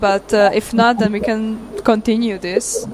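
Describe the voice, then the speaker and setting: Over noticeable background noise, a woman speaks with a Hungarian accent at a fairly high pitch. Her pace is fairly slow and her intonation monotone and flat. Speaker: event discussion moderator. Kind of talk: casual chat. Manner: halting.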